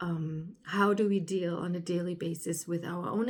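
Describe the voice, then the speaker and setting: Over noticeable background noise, a speaker with a German accent talks with fairly even intonation. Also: woman. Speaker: spiritual alignment coach, podcaster. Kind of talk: casual monologue podcast. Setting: indoors by a sunny window. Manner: halting, with fillers.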